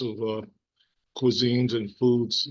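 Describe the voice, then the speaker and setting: A man's voice at a medium pitch. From New York City. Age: 60s. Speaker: vlogger, former teacher. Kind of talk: casual vlog monologue. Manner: halting, many fillers.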